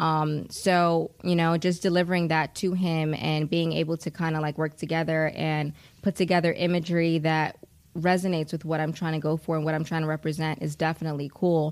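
A woman with an American accent, very deep and low in pitch, flat and monotone, at a fairly quick pace on a very clean recording with a silent background. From US Northeast, New York City, the Bronx. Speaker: singer-songwriter and actress. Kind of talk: casual interview chat.

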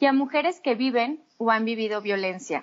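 A woman with a high pitch and ordinary pitch variation talks at a moderate pace. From Mexico, Torreón. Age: 30s. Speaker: psychotherapist. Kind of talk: interview.

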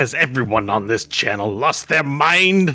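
A raspy, put-on character voice with lively intonation. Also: man. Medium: actual play.

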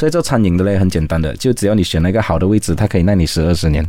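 Noticeable background noise is present throughout. Over it, a man speaks very fast. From Malaysia, Sarawak (Kuching). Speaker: restaurant founder, entrepreneur. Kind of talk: interview.

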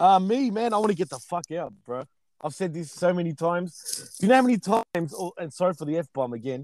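A high-pitched man talks at a very fast pace with lively intonation, recorded with a dry, close sound and no echo. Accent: Australian. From Australia. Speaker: DJ. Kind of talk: casual chat.

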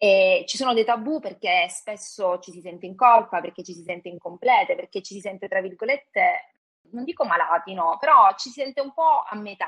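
Speaking in a plain, everyday voice at a moderate pace, this speaker uses lively intonation and big swings in loudness. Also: woman, medium pitch for a woman. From Calabria, southern Italy. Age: 40s. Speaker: guest sharing personal story. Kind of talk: interview testimony.

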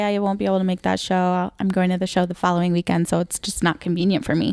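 A woman with a Michigan accent is heard on a very clean recording with a silent background. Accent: northern US (Michigan). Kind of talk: casual chat.

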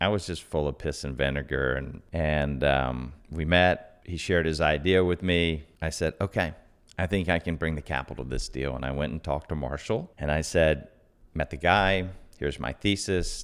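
A man speaks at a moderate pace. His very deep, low voice carries vocal fry. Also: ordinary pitch variation. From US South, Atlanta, Georgia. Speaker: real estate investor. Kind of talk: casual interview.

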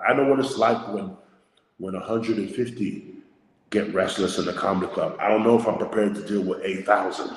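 Over audible room echo, a man talks at a moderate pace with medium pitch and ordinary pitch variation. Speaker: stand-up comedian. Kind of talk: casual chat.

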